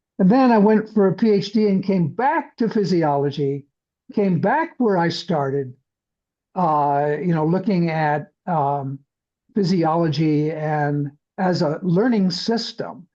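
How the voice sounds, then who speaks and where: With an American accent, a man speaks at a fairly slow pace in a high, dark, mellow voice. His loudness stays very even while his pitch varies in an ordinary way. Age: 80s+. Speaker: podcast host, scientist. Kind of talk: casual monologue about his career. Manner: halting, many fillers.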